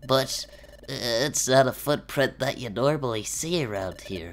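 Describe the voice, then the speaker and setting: Someone does a put-on character voice at a low-to-middle pitch and a moderate pace, with light background noise. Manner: loud.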